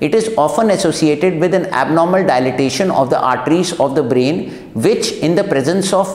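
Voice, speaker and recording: Audible room echo surrounds a man talking at a fairly quick pace. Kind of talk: medical explainer to camera. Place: studio.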